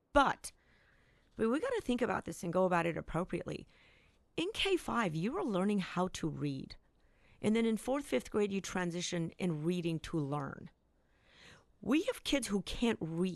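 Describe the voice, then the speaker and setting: A woman at a medium pitch speaks at a moderate pace with long, frequent pauses over a quiet background. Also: lively intonation. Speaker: school board member. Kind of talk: radio interview.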